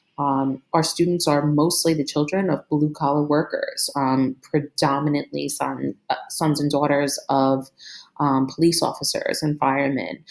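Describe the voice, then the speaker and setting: Very even in loudness, a woman talks in a Brooklyn accent. She has a very deep, low pitch and a fairly slow pace. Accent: New York (Brooklyn). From Brooklyn, New York. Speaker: teacher and school administrator. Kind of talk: recorded course presentation. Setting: screen recording. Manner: hesitant, many fillers.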